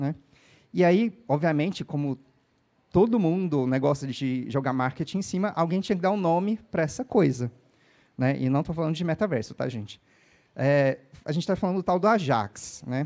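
Speaking at a moderate pace with long, frequent pauses, a man uses lively intonation at a fairly high pitch. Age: 40s. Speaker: developer evangelist. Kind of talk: conference talk. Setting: stage with audience. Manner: casual, energetic. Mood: relaxed, joking. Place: stage. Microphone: handheld.

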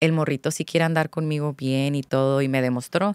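Over a quiet background, a woman talks at a fairly quick pace in a very deep, low pitch. The sound is dry with no echo. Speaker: content creator. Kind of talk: casual chat. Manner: animated. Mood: candid, reflective. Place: studio. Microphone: studio mic.

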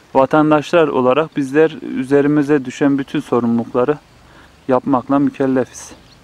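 A man's fairly high voice, monotone and flat, at a moderate pace, dry and close with no echo. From Turkey, Kayseri (Develi village). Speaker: village life vlogger. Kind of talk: casual vlog narration. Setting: outdoors in a village garden.

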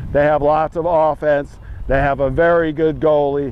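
A man speaks in a monotone, flat intonation at a moderate pace, the sound dry with no echo. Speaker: lacrosse analyst. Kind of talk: commentary. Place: open country. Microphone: lapel.

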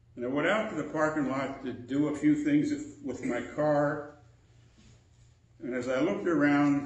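In a room with audible echo, a man with a fairly high voice talks at a fairly slow pace. His intonation is fairly even, with long, frequent pauses. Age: 80s+. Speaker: preacher. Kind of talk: sermon. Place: church. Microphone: podium.

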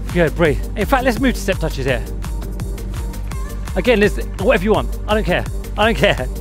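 Music plays in the background as the speaker goes at a fairly quick pace. The sound is dry with no echo, and the pitch variation is ordinary. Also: man. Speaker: fitness instructor. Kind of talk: workout instruction. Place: waterside.

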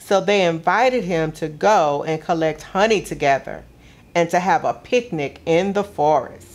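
A woman with a warm, gentle tone and fairly low pitch speaks at a fairly slow pace with ordinary pitch variation. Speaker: museum gallery programs director reading a story. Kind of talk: children's picture-book story time, read aloud. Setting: video broadcast for kids at home. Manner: warm, gentle, expressive storyteller pace. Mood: warm, gently expressive.

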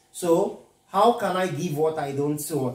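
Ordinary pitch variation with audible room echo against a quiet background. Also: man. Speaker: physics tutor. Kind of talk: lecture. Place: home room. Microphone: camera far.

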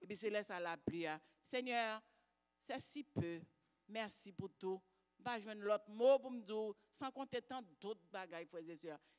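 A woman talks at a very slow pace with long, frequent pauses. The background is quiet. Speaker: congregant giving testimony. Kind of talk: testimony. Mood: grateful, fervent. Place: church. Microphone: handheld.

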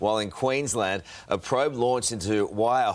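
With music in the background, a man with an Australian accent talks at a moderate pace. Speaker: TV news presenter. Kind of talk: live TV news. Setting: studio.

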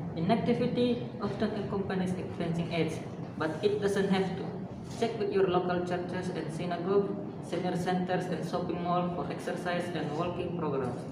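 Amid loud background noise and audible room echo, a man is speaking. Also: moderate pace. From Indonesia. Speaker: nursing student. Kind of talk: reading aloud. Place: classroom. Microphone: camera far.

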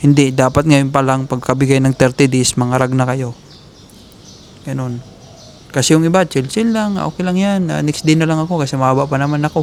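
Speaking fairly quickly, a man uses a plain, everyday voice, fairly high in pitch, with ordinary pitch variation. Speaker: vlogger giving job-hunting advice to Filipino workers. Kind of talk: casual vlog monologue. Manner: fast, run-on speech.

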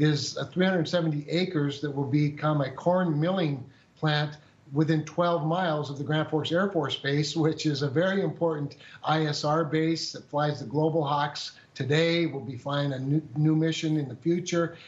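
The man's intonation is monotone and flat. He speaks at a fairly slow pace. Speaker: politician guest. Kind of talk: interview answer. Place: office. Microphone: video call.

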